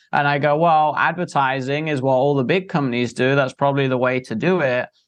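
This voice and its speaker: A man speaks with an English accent at a fairly high pitch. His intonation is fairly even over a quiet background. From England. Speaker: entrepreneur and marketer. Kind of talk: interview.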